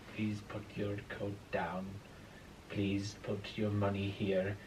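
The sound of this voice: Put-on character voice from a man in a Swedish accent, fairly low in pitch, very slow in pace, over clear background noise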